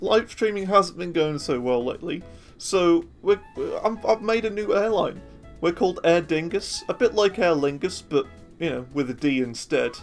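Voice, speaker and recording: Moderate-paced speech in a Birmingham accent, with music in the background. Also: man, high pitch for a man. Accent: Birmingham (Brummie) English. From Birmingham, England. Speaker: gaming streamer. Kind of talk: casual gameplay commentary.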